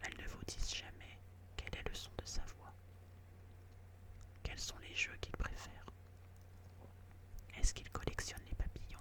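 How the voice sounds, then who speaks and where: Whispered speech broken by long, frequent pauses. Background noise is noticeable throughout. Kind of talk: whispered audiobook reading of a classic story, ASMR. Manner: whispered, soft, slow.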